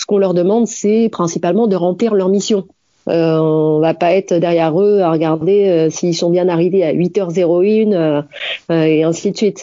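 A woman's unremarkable speaking voice, fairly low in pitch, at a moderate pace with fairly even intonation and very even loudness. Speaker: expatriate correspondent. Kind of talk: interview.

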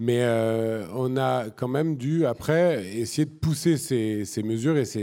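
A man's normal speaking voice at medium pitch, with lively intonation. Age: 40s. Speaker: environmental activist and entrepreneur. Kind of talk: panel discussion on stage. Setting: stage with audience.

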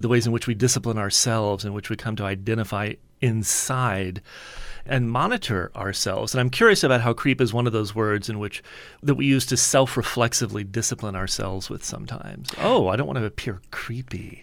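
A man with an unremarkable speaking voice and an American accent, medium pitch, ordinary pitch variation and a fairly quick pace, on a very clean recording with a silent background. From US Deep South, New Orleans. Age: 50s. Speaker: author and professor. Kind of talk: interview. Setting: studio.

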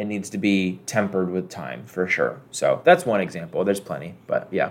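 Using a plain, everyday voice, a man with fairly low pitch talks at a moderate pace with lively intonation. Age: 20s. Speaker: video game podcast co-host. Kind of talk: casual chat.

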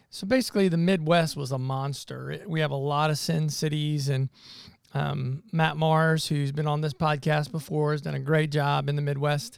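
Speaking at a moderate pace, a man with a fairly high pitch keeps his intonation fairly even. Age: 50s. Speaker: church planting missionary. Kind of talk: casual chat.

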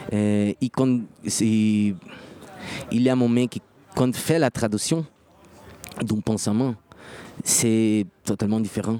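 In a Portuguese accent, a man speaks at a very slow pace and a medium pitch. His intonation is fairly even, with long, frequent pauses. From Brazil. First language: Portuguese (speaking French). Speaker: musician. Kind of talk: interview. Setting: festival venue. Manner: halting.

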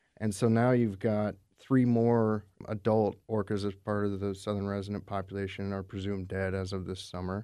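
A man's fairly low, dark, mellow voice at a moderate pace, monotone and flat in intonation, over a quiet background. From Alaska. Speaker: conservation district communications director. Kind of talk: radio interview. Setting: radio studio.

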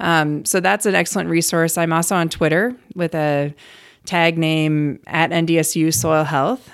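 In a plain, everyday voice, a woman with an American accent talks at a fairly low pitch, with ordinary pitch variation and very even loudness. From Cleveland, Ohio. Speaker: soil health extension specialist. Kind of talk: interview. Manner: casual.

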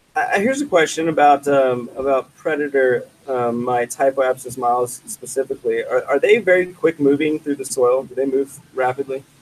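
A man talks at a moderate pace with a fairly high pitch and ordinary pitch variation, a plain, everyday voice recorded with a dry, close sound and no echo. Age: 30s. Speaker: cultivation director. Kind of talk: casual chat.

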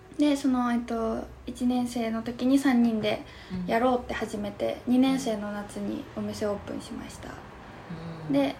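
At a moderate pace, a woman with a fairly high pitch shows ordinary pitch variation and big swings in loudness over noticeable background noise. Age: 20s. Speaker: university student and shop owner. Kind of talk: casual chat. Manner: halting.

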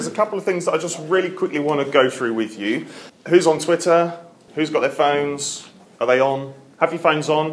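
With a normal speaking voice, a man talks at a fairly quick pace, his fairly high pitch showing ordinary variation. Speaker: youth radio host moderating debate. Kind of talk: moderated panel debate with student audience. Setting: college room with live student audience.

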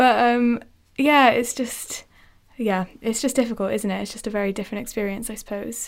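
Speaking with a British accent, a woman uses a fairly high pitch, fairly even intonation and a moderate pace. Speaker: podcast host and medical student. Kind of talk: casual conversational podcast discussion.

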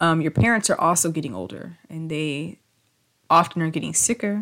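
On a very clean recording with a silent background, a woman with an unremarkable speaking voice and a fairly low pitch speaks at a fairly quick pace. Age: 30s. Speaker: podcast host and PhD student. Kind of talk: casual monologue.

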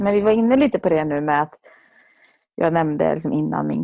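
Against a quiet background, the words come at a fairly quick pace. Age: 30s. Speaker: leadership coach and podcast co-host. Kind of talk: casual chat.

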